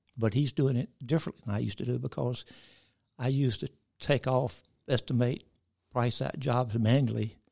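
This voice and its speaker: A man speaks at a fairly quick pace in a dark, mellow tone. His voice is somewhat breathy, broken by long, frequent pauses. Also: medium pitch for a man, fairly even intonation. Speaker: retired construction company founder. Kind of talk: interview. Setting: radio studio.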